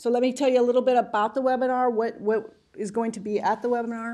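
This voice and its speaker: A woman's fairly high-pitched voice with a dark, mellow tone, at a fairly quick pace over a quiet background. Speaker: pension agency staff presenter. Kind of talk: committee meeting presentation. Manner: fast.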